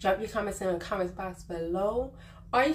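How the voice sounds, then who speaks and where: Noticeable background noise sits under the voice. A woman talks with ordinary pitch variation. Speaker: vlogger giving life advice. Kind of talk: casual monologue to camera. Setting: on vacation, not at home. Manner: quiet, subdued.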